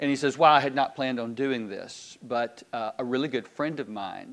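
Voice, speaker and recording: The speaker has a Southern US accent and a moderate pace. Pitch variation is ordinary. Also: man. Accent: Southern US (Georgia). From US South, Georgia (Decatur, Loganville). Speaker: pastor. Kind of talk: sermon. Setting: church. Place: church.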